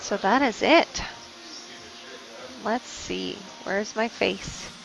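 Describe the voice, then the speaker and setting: The woman talks at a very slow pace against noticeable background noise. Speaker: pool match commentator. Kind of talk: live commentary. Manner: soft-spoken.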